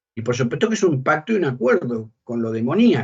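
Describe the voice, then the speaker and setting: Somewhat breathy and medium in pitch, a man talks at a moderate pace with lively intonation. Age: 60s. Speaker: bishop and exorcist. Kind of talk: interview.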